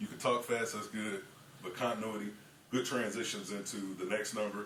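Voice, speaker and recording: A man talks at a fairly quick pace, his pitch fairly low. Noticeable noise sits in the background. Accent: American. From Kansas City, Missouri. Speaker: auctioneer. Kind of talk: casual talk to camera, tutorial.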